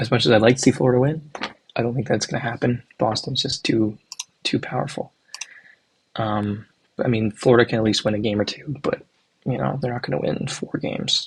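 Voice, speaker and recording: A soft-spoken man with a medium pitch, ordinary pitch variation and a fairly quick pace. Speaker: hockey YouTuber. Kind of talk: casual predictions commentary. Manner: hesitant, filler-heavy.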